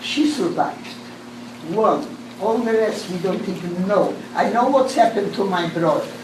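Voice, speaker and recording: The speaker uses lively intonation at a fairly slow pace, with audible room echo and noticeable background noise. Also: woman. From Poland, Lodz. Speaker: Holocaust survivor. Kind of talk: testimony. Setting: talk to a class.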